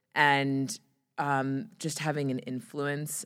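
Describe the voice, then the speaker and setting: Her voice has a very deep, low pitch. The woman talks at a very slow pace. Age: 30s. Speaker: PR executive. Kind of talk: interview. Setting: studio.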